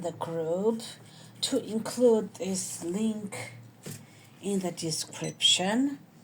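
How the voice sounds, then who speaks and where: This woman talks very slowly. Her voice sits at a medium pitch. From Georgia (country). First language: Georgian. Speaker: embroidery channel host. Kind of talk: tutorial. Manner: halting, with fillers.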